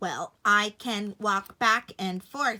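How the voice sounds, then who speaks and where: A woman performs a put-on character voice. Her pitch sits at a medium level. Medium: read story.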